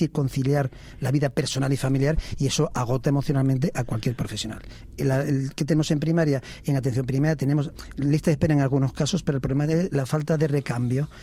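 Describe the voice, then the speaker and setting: A man talks very fast in a fairly high pitch, his somewhat breathy voice carrying a dark, mellow tone with very even loudness and fairly even intonation. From Spain, Ávila province (Valle del Tiétar). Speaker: family doctor, medical association president. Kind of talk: radio interview. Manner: measured, with frequent hesitations.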